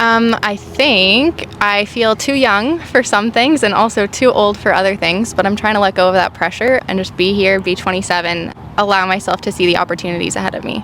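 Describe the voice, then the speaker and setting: Over noticeable background noise, a woman speaks at a medium pitch and a fairly quick pace with hardly any pauses and ordinary pitch variation. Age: 20s. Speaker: parent and digital artist interviewed on the street. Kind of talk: street interview. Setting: outdoors.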